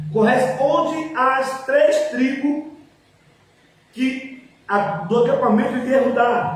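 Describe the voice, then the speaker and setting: A man with an extremely high pitch speaks at a very slow pace, with fairly even intonation and long, frequent pauses. Audible room echo and noticeable background noise fill the recording. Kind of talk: lecture.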